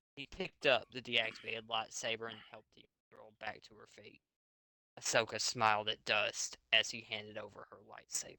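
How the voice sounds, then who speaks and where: Here is a man with a medium pitch and a bright, sharp tone. His intonation is fairly even, his loudness swings widely, and the sound is dry and close with no echo. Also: moderate pace. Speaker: fanfic author reading his story to friends. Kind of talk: reading aloud; casual chat. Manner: stuttering.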